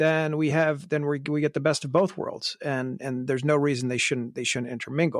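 With hardly any pauses, a man talks at a fairly quick pace and fairly high pitch, with fairly even intonation and an unremarkable speaking voice. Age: 40s. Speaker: watch podcast host. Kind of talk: casual chat.

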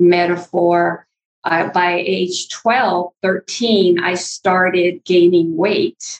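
The woman speaks very slowly. Her pitch sits at a medium level. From Northern California, Mendocino County. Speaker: author and former counselor. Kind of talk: interview, personal testimony.

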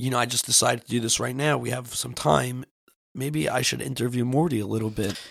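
This man has a normal speaking voice, talking at a fairly quick pace with medium pitch and ordinary pitch variation. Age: 30s. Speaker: podcast host. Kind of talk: casual chat.

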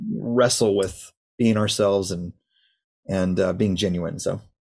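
Using a normal speaking voice, a man talks at a fairly low pitch with ordinary pitch variation. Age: 30s. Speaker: worship leader. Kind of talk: casual chat. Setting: video call.

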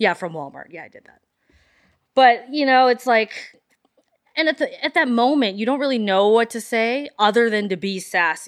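On a very clean recording with a silent background, a woman with a Canadian accent speaks in a fairly high voice with an animated tone and very wide pitch swings. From Calgary, Canada (Filipino family). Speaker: lingerie boutique owner. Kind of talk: casual interview chat.

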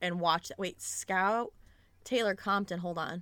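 A woman's bright, sharp voice with a Midwestern US accent, dry and close with no echo, on a very clean recording with a silent background. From Michigan, US Midwest. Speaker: podcast host. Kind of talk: casual chat about books. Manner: chatty, casual, fillers.

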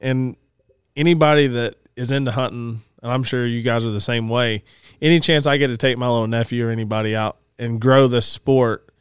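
Delivered at a very fast pace in a Southern US accent, the speech has fairly even intonation, a dry, close sound with no echo, and a very clean recording with a silent background. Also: man. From Georgia, US. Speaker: outdoors business owner and hunter. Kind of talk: casual chat. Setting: studio.

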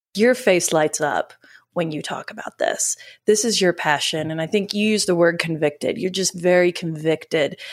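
In a very clean recording with a silent background, a woman talks in an ordinary speaking voice at a moderate pace, her fairly low pitch showing ordinary variation. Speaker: podcast host. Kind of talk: interview, upbeat chat.

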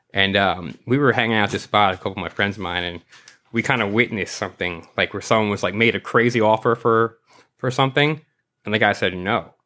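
Delivered at a very fast pace, the speech carries a New York accent and ordinary pitch variation. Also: man, fairly low pitch for a man. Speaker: sticker artist. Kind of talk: casual chat.

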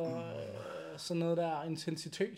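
With audible room echo around him, a man talks in a high pitch with fairly even intonation. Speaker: bodybuilding podcast host, chiropractor. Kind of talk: casual chat. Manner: volume may be uneven.

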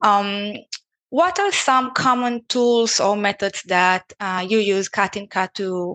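A woman with a non-native accent, medium pitch, fairly even intonation and a fairly slow pace. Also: very clean recording, silent background. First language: not English. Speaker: podcast host and sourcing specialist. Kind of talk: casual conversational interview.

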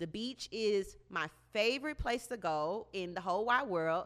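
A woman at a fairly high pitch, animated in tone with lively intonation, on a very clean recording with a silent background. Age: 30s. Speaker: podcast host. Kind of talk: casual monologue.

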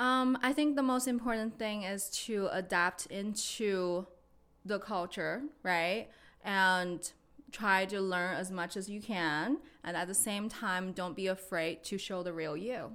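Speaking fairly slowly with a Chinese accent and ordinary pitch variation, the voice comes through on a very clean recording with a silent background. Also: woman, medium pitch for a woman. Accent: Mandarin Chinese accent in English. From China, Beijing. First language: Mandarin Chinese. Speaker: real estate agent. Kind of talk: casual interview.

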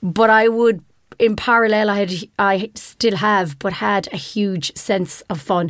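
With an Irish accent, a woman speaks at a fairly slow pace and a medium pitch with ordinary pitch variation, on a very clean recording with a silent background. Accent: Irish (Clare). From Ireland, Ennis, County Clare. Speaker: technology executive. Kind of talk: interview. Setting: studio.

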